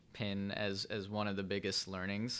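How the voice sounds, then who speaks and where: In a Chicago-area accent, a man with a fairly low pitch and a bright, sharp tone speaks at a moderate pace on a very clean recording with a silent background. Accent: Chicago-area American English. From Chicago suburbs, Illinois (Vernon Hills). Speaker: startup co-founder and COO. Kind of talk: interview.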